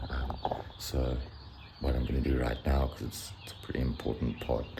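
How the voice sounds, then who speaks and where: Amid noticeable background noise and audible room echo, a man with a very deep, low pitch speaks at a moderate pace with fairly even intonation. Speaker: vlogger and day trader. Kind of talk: casual vlog narration. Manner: whispering.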